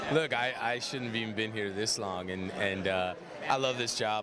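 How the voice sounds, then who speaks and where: A man at a fairly quick pace, dry with no echo, against noticeable background noise. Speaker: actor interviewee. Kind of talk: interview answer. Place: hall. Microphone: handheld.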